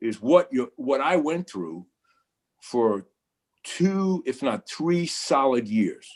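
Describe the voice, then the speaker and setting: On a very clean recording with a silent background, a man with a Brooklyn accent speaks very slowly at a fairly high pitch, his voice making very wide pitch swings. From New York, Brooklyn. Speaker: photojournalist. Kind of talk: panel discussion. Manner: halting, many repetitions.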